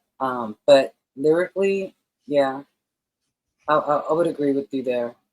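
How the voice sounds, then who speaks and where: Speaking with an American accent at a fairly slow pace, the voice shows ordinary pitch variation. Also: woman, very deep, low pitch for a woman, dry, close sound with no echo. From New York, Brooklyn. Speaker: podcast host. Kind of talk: interview.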